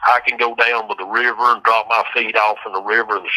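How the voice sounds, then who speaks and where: A man talks in a strong Southern US accent. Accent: strong rural Southern country. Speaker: death row inmate. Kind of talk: casual chat. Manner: halting, repeats words.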